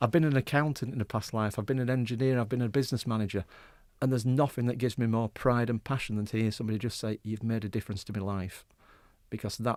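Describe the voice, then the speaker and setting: Very fast speech in a Yorkshire accent, with fairly even intonation. The sound is dry and close with no echo, on a very clean recording with a silent background. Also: man. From West Yorkshire. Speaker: mental health charity deputy chief executive. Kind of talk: radio interview.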